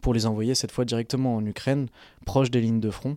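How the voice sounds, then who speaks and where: With a very clean recording and a silent background, a man speaks in a dark, mellow tone with fairly even intonation. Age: 20s. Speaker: doctoral student, volunteer organizer. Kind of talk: casual interview talk.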